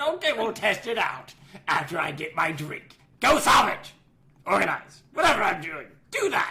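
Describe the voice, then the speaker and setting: A put-on character voice at a fairly high pitch, moderate pace and very wide pitch swings. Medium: audio drama. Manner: careless, gruff.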